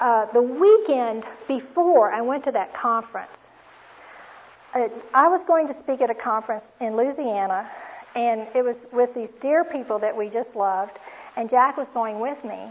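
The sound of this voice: A woman speaks at a fairly high pitch with a slightly husky edge. Her pace is moderate and her pitch varies in an ordinary way.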